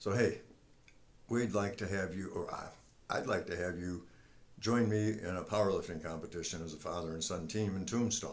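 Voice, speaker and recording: The pitch varies in an ordinary way. There is audible room echo. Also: man. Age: 70s. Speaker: retired military veteran and senior powerlifter. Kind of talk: casual talk to camera.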